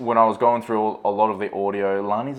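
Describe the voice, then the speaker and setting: Over noticeable background noise, a man speaks with an Australian accent. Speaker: vlogger. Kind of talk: casual chat. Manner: loud.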